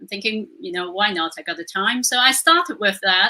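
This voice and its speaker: A woman's bright, sharp voice at medium pitch and a moderate pace. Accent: non-native. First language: not English. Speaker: Reiki master. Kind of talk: interview. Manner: hesitant, with fillers.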